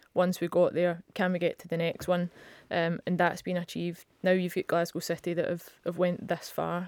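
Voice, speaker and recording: A woman with a Scottish accent speaks in a fairly low pitch with monotone, flat intonation. The recording is very clean, with a silent background and a dry, close sound with no echo. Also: moderate pace. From Scotland. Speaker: professional footballer. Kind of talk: interview.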